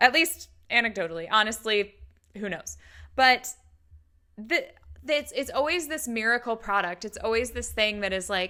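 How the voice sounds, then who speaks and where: Animated and fairly high pitched, a woman speaks in a bright, sharp tone with lively intonation at a moderate pace, with long, frequent pauses. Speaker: YouTube commentator on MLMs. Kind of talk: reaction commentary.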